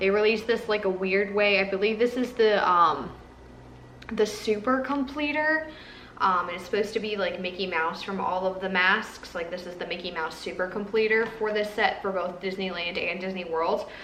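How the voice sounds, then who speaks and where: Background noise is noticeable and room echo audible. A woman speaks at medium pitch with ordinary pitch variation. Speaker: Disney pin collector vlogger. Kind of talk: casual haul video. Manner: fast.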